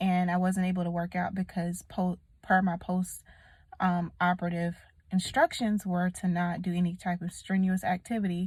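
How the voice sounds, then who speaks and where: Her voice somewhat breathy, a woman speaks at a medium pitch and moderate pace in a monotone, flat intonation. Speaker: vlogger. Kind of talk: casual vlog talk to camera. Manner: casual, conversational.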